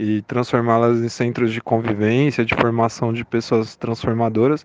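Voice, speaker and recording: Speaking at a moderate pace, a man with a medium pitch has a plain, everyday voice. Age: 30s. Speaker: school principal and political candidate. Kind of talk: interview.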